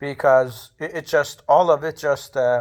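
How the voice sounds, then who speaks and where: Speaking at a fairly slow pace with fairly even intonation, a man with a non-native accent is heard in a very clean recording against a silent background. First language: not English (speaking third language). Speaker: vlogger. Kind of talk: casual monologue. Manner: halting, many fillers.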